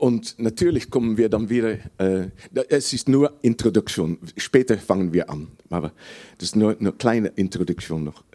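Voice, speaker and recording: A man with a Dutch accent speaks at a fairly low pitch and a moderate pace, his dark, mellow tone carrying lively intonation. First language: Dutch (speaking German). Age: 60s. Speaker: preacher. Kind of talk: sermon. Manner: halting.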